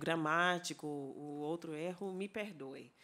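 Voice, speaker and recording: Speaking at a very slow pace, a woman with an English accent has a fairly low pitch. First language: English (speaking Portuguese). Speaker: anthropology professor. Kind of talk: conference lecture. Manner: halting, with many fillers and self-corrections.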